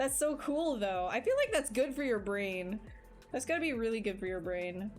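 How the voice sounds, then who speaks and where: A woman with a Canadian accent speaks at a fairly high pitch with lively intonation, music playing in the background. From Canada. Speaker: digital sculptor streaming live. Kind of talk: casual livestream chat while working. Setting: live stream.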